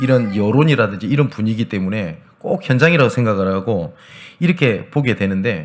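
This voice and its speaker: With very wide pitch swings and a fairly quick pace, a man talks over noticeable background noise. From Gyeongsang region, South Korea. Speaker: pastor. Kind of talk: sermon.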